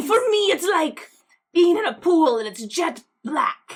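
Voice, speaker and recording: In a put-on character voice, a woman speaks at a fairly slow pace with an extremely high pitch, very wide pitch swings and an intense tone. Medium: actual play. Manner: gushing, oddly intense.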